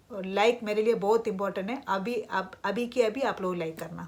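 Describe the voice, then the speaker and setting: A non-native accent at a moderate pace, with ordinary pitch variation. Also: woman. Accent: non-native Hindi. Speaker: vlogger. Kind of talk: casual vlog talk. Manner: hesitant with fillers.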